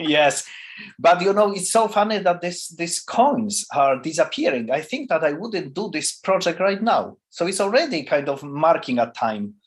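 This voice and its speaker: The delivery runs at a moderate pace. Its pitch swings very widely from high to low. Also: man, high pitch for a man. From Poland, near Czech and German border. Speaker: performance artist. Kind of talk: interview. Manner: halting.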